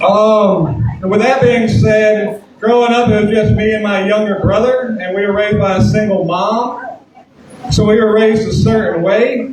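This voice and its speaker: Speaking in a Southern US accent, a man has a high pitch and a moderate pace with fairly even intonation. Room echo is audible, and background noise is noticeable. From US South, southern Alabama. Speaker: comedian. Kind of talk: stand-up. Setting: stage with audience.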